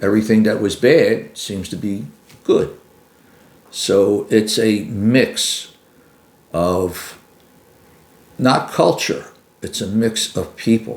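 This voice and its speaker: Very slow speech in a Philadelphia accent, broken by long, frequent pauses. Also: man. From US Northeast, Philadelphia. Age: 70s. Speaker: retired carpenter and military veteran. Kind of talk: interview. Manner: halting, with frequent fillers.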